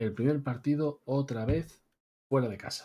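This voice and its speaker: A man speaks at a fairly slow pace with a medium pitch, a dark, mellow tone, a somewhat breathy quality and ordinary pitch variation. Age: 30s. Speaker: video game streamer. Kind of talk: live gameplay commentary. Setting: live stream. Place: home room.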